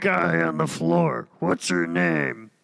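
Putting on a character voice, a man speaks raspy and very deep, low-pitched, with ordinary pitch variation. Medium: actual play. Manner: blunt, mocking.

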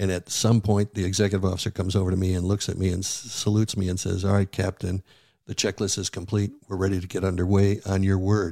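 An American accent marks this man's very deep, low, dark and mellow voice, delivered very fast in a monotone, flat intonation on a very clean, dry, close recording with a silent background and no echo. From Buffalo, New York. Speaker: retired naval officer and leadership speaker. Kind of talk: interview.

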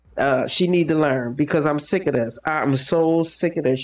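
With an American accent, a woman speaks at a moderate pace. Her pitch is very deep and low, with ordinary variation. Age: 50s. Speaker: social worker. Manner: loud, fiery, indignant.

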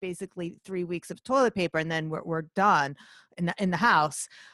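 Recorded dry and close with no echo, a woman talks fairly quickly in a plain, everyday voice with ordinary pitch variation. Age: 50s. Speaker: artist and former finance worker. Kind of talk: interview.

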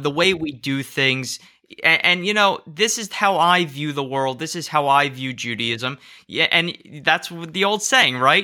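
A voice with a New Jersey accent speaks at a fairly slow pace, bright and sharp in tone with lively intonation. The recording is very clean, with a silent background. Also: man, fairly high pitch for a man. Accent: American, New Jersey. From US, southern New Jersey. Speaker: rabbi. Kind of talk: interview conversation.

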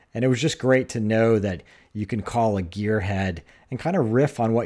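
On a very clean recording with a silent background, a man with an American accent speaks at a moderate pace in a dark, mellow tone, his fairly low pitch showing ordinary variation. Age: 50s. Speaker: podcast host. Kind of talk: interview; read-out ad.

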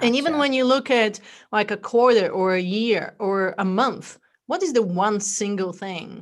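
Lively intonation in an American accent, on a very clean recording with a silent background. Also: woman. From Bulgaria. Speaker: entrepreneur and wellness movement founder. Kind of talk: podcast interview.

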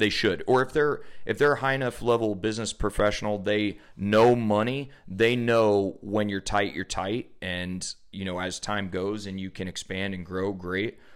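A man with an American accent speaks in a normal speaking voice, fairly low in pitch with ordinary pitch variation. His pace is moderate, and the recording is very clean with a silent background. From US Midwest (central Illinois). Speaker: podcast host, chiropractor. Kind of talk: casual interview.

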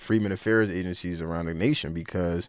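This speaker has an American accent and an ordinary speaking voice, with ordinary pitch variation at a moderate pace. The recording is very clean, with a silent background. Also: man. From Philadelphia, US. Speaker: reparations activist and organizer. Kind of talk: radio interview.

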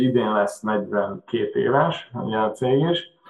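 The speaker is a man. His voice is pitched at a medium level. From Hungary, Budapest. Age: 40s. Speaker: machine shop owner. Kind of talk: interview. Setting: video call.

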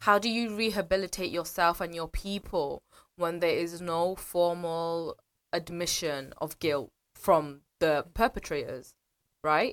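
A woman with a British accent and a fairly low pitch, on a very clean recording with a silent background. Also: ordinary pitch variation, fairly slow pace. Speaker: commentator on history and politics. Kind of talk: casual radio chat. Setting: radio studio. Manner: animated.

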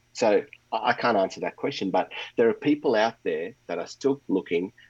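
A man with an Australian accent speaks at a very fast pace. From Melbourne, Australia (moved from India at nine). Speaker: pastor. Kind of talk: interview conversation.

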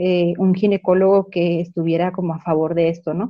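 A woman speaks at a fairly slow pace with a medium-pitched voice. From Chihuahua, Mexico. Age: 20s. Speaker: home birth mother and meditation shop owner. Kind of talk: interview storytelling. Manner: halting with many fillers.

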